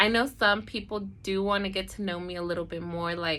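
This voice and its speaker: Mumbling from a woman with an American accent, a bright, sharp tone, medium pitch and fairly even intonation. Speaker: esthetician and beauty vlogger. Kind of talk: casual storytime vlog. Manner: talkative, mumbling.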